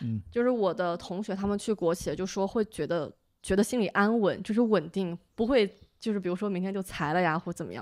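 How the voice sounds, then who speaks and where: Against a quiet background, the voice moves at a fairly quick pace with ordinary pitch variation. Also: woman. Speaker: recent master's graduate; podcast guest. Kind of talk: casual chat. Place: home room. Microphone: studio mic.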